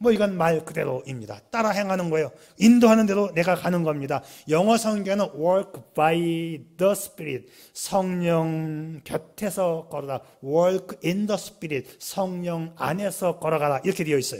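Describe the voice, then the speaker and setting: High male voice, fairly slow, its pitch varying an ordinary amount. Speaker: pastor. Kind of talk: sermon. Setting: church.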